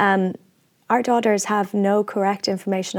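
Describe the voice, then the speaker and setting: This woman has an Irish accent and fairly even intonation. Her pace is fairly quick in a very clean recording with a silent background. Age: 30s. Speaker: activist and actor. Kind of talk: interview.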